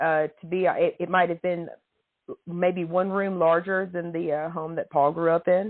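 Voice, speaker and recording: A woman with a Tennessee accent talks at a moderate pace, her fairly low voice keeping a fairly even intonation. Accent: Southern US (Tennessee). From Tennessee, near Nashville. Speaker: podcast guest writer. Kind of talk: casual chat.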